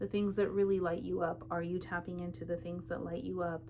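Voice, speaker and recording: This woman's voice sits fairly low and carries vocal fry. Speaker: tarot reader. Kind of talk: tarot reading. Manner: casual, chatty.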